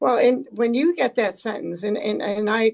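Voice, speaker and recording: An unremarkable speaking voice from a woman, moderate in pace with ordinary pitch variation. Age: 60s. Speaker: policy expert. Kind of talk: panel discussion.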